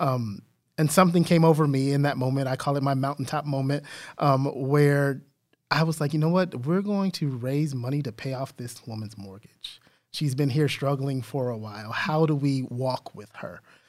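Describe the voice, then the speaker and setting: In a plain, everyday voice, a man speaks at a moderate pace with a fairly high pitch and ordinary pitch variation, on a very clean recording with a silent background. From Texas, San Antonio. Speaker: diversity and inclusion trainer. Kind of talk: interview.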